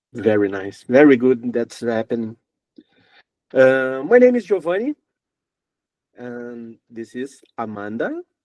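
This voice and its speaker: A man with a Brazilian accent and a medium pitch speaks very slowly, with long, frequent pauses. His loudness swings a lot, and the sound is dry and close with no echo. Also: ordinary pitch variation. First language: Portuguese. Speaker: music interviewer. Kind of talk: interview. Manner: halting.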